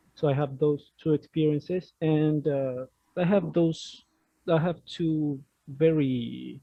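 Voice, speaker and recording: The man has a non-native accent and fairly even intonation. His pace is fairly slow. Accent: non-native English speaker. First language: Spanish. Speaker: discussion group member. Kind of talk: casual group discussion. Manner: halting, many fillers.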